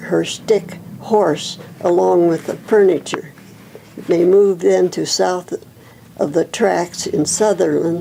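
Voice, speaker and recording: With long, frequent pauses and a very slow pace, a woman speaks in an American accent against noticeable background noise. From Nebraska. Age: 90s. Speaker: oral history interviewee. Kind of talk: oral history interview; reading aloud.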